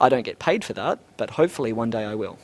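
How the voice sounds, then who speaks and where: A man with an Australian accent, medium pitch, ordinary pitch variation and a fairly quick pace. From Australia, Brisbane. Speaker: 3D animator. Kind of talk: interview.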